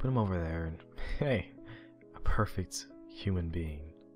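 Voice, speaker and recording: With music in the background, a man speaks at a fairly slow pace with a very deep, low pitch and ordinary pitch variation. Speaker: amateur creepypasta narrator / YouTube reader. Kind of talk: creepypasta horror narration, dramatic reading. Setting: unedited home recording, rough sound quality.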